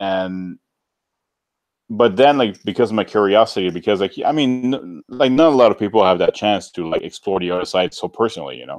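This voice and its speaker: A man with a French-Canadian accent, fairly low in pitch, at a fairly quick pace, with big swings in loudness and a dry, close sound with no echo. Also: lively intonation, quiet background. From French-speaking Canada outside Quebec. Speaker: YouTuber. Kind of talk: casual chat.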